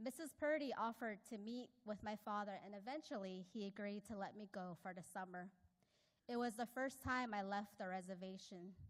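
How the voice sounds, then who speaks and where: A woman speaks at a medium pitch. Her pace is moderate, with ordinary pitch variation. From Navajo Nation, Arizona. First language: Navajo. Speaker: hydrology professor. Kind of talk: personal speech at an award event.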